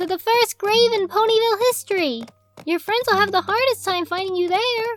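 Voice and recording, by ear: A female-sounding voice in a put-on character voice hits an extremely high pitch at a moderate pace, with music in the background.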